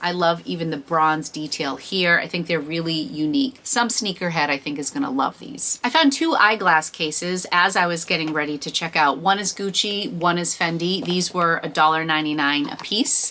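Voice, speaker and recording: Lively intonation at a moderate pace, hardly any pauses, and noticeable background noise. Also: woman, fairly low pitch for a woman. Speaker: reseller and thrift vlogger. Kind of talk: haul video monologue.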